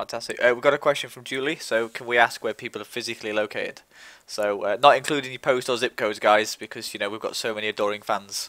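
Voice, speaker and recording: With an East Midlands accent, a man talks at a very fast pace in a medium pitch, his bright, sharp tone showing big swings in loudness and fairly even intonation, all in a dry, close sound with no echo. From England, East Midlands (Mansfield, Nottinghamshire). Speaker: live stream host. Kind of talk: casual chat. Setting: live online stream.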